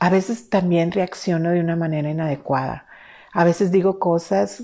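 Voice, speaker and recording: Against a quiet background, a woman speaks at a fairly low pitch with ordinary pitch variation and a dark, mellow tone. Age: 50s. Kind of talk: faith-based teaching talk. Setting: live stream.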